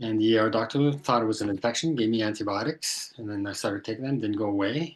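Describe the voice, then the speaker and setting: Someone talks at a very fast pace in a Quebec accent. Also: man. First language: French. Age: 60s. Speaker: tinnitus sufferer, retired IT professional. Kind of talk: personal testimony in interview. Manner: halting.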